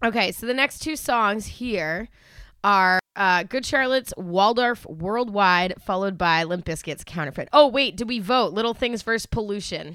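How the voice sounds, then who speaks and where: A woman speaks at a moderate pace with a bright, sharp tone and lively intonation. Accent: American. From Massachusetts, Boston area. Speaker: podcast co-host. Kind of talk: casual chat.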